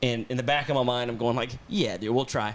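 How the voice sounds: A man talks at a fairly quick pace and a medium pitch. His tone is fairly bright, with ordinary pitch variation.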